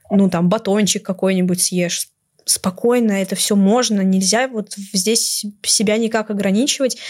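A woman speaks in a plain, everyday voice at medium pitch, fairly slow, with fairly even intonation and very even loudness. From Moscow, Russia. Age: 20s. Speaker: university student. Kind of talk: podcast interview.

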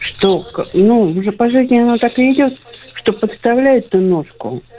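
Slowly, at a fairly unhurried pace, a woman speaks against noticeable background noise. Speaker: caller. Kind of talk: phone-in call. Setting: phone call.

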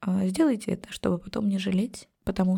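Somewhat breathy and at a medium pitch, a woman speaks at a fairly quick pace. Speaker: genealogy and family-history psychologist. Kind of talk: emotional podcast interview.

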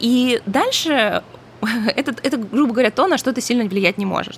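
A woman's voice with noticeable background noise. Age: 30s. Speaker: podcast host. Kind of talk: solo podcast talk. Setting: home by the ocean.

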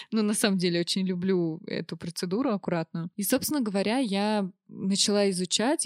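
A woman talks in a plain, everyday voice at a moderate pace with ordinary pitch variation. The recording is very clean with a silent background and a dry, close sound with no echo. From Russia, Orenburg. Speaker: cosmetologist. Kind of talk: casual chat. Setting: studio.

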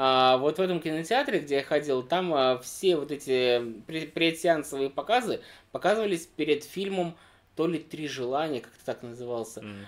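Using an unremarkable speaking voice, a man talks at a moderate pace with a fairly high pitch, lively intonation and big swings in loudness. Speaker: podcast co-host. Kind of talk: casual chat. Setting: indoor room with fireplace, in person.

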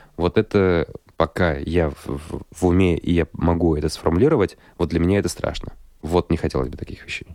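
A man speaks at a fairly quick pace with a very deep, low pitch and a dark, mellow tone, keeping fairly even intonation. The sound is dry and close with no echo, in a very clean recording over a silent background. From Russia, Kirov. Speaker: radio host. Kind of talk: casual chat. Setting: studio.

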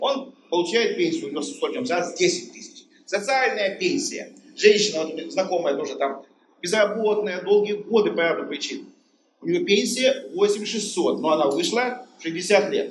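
Speaking at a moderate pace, a man with a high pitch uses very wide pitch swings and big swings in loudness. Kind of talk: audience question. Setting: stage with audience.

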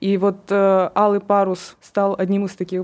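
Here a woman speaks at a medium pitch. The recording is very clean, with a silent background. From Russia, Kurgan. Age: 20s. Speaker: young writer, journalism graduate. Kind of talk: interview.

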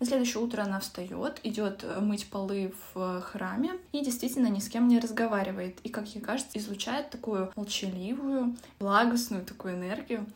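A calm-toned woman at a fairly high pitch, moderate pace and ordinary pitch variation, with noticeable background noise. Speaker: book podcast host. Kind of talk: casual book discussion.

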